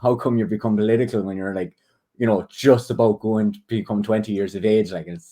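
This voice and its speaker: A man talks with an Irish accent in a dark, mellow tone. He moves at a fairly quick pace. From Ireland. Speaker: political activist. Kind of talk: casual interview.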